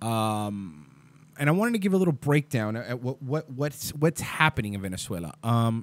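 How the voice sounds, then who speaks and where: A man at a moderate pace with lively intonation, recorded dry and close with no echo. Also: medium pitch for a man. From US, Cuban-American family. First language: Spanish. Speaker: internet radio show host. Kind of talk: casual solo talk show. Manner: casual, filler-heavy with many ums and restarts.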